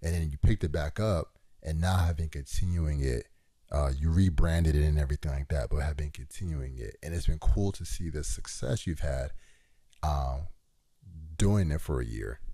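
A man's very deep, low pitch with ordinary pitch variation, in a dark, mellow, somewhat breathy tone. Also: moderate pace. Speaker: podcast host. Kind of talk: casual chat.

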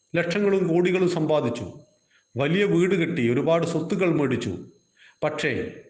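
Recorded with audible room echo, a man speaks in a high pitch with ordinary pitch variation and very even loudness. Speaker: Gita teacher. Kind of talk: religious lecture. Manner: measured, phrase by phrase.

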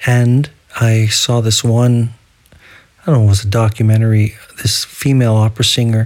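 A man at a medium pitch, with monotone, flat intonation, very even loudness, a moderate pace and long, frequent pauses. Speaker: solo podcaster. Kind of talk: casual solo audio diary. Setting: home recording without headphones. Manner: holding back on enunciation.

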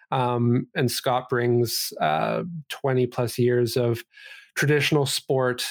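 A man with a Canadian accent at a very slow pace, medium pitch and fairly even intonation, with very even loudness on a very clean recording against a silent background. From Vancouver, Canada. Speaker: esports company CEO. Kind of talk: casual interview.

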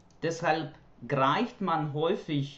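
A fairly high-pitched man speaking at a very slow pace. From Ukraine. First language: Ukrainian or Russian (speaking German). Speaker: German language teacher. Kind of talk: prepared monologue. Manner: formal.

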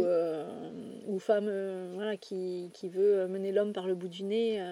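Very slow and monotone, a woman speaks at a medium pitch with a dark, mellow tone and big swings in loudness. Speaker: astrology coach. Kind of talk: casual chat. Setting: outdoors.

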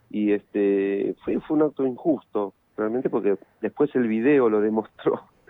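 The man's dark, mellow tone comes through a dry, close sound with no echo. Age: 50s. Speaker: musician. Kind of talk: interview.

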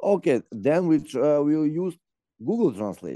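Recorded with a dry, close sound and no echo, a man speaks in a fairly high pitch with a dark, mellow tone. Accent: Macedonian. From North Macedonia. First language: Macedonian. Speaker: expat interviewee. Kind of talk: interview. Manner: laughs often.

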